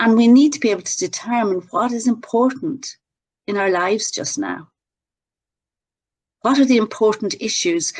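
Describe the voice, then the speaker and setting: A fairly high-pitched woman with an Irish accent and lively intonation. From Ireland. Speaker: workshop presenter on emotional intelligence. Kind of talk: webinar presentation. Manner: relaxing.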